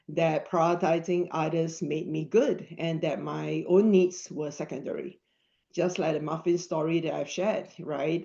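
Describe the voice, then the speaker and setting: A woman's fairly low, dark, mellow voice in a non-native accent, fairly slow and fairly even in intonation, over a quiet background. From Singapore. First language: not English. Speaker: mental health app co-founder. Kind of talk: webinar talk.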